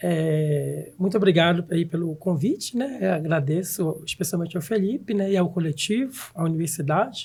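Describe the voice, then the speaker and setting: A man talks fairly slowly in a high-pitched voice. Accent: Pará. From northern Brazil, Belém do Pará (Amazon). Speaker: professor and researcher. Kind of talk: podcast interview.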